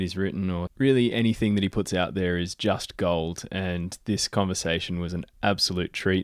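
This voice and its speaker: The recording is very clean, with a silent background. A man speaks with an Australian accent. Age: 20s. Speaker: climbing podcast host, Olympic climber. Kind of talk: casual chat; read-out ad and intro.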